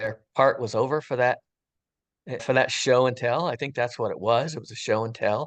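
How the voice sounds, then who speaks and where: Using a normal speaking voice, a man of medium pitch talks at a moderate pace with fairly even intonation. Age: 60s. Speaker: retired firefighter sharing a near-death experience. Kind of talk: testimony. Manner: casual, conversational.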